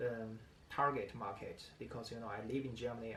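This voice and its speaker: A man speaks with a non-native accent, and audible room echo surrounds his voice. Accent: non-native English speaker. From China. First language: Chinese. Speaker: vlogger. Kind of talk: casual vlog talk to camera. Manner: halting, many fillers.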